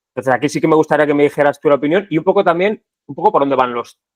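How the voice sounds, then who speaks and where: A man with a fairly high pitch and an ordinary speaking voice. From Spain, Segovia. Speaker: podcast host. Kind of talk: interview conversation.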